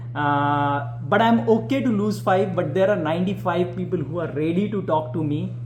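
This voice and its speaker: A man with a fairly high pitch swings his voice very widely at a moderate pace. Audible room echo and noticeable background noise fill the recording. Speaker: business coach, real estate investor. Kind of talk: casual chat. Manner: hesitant, many fillers.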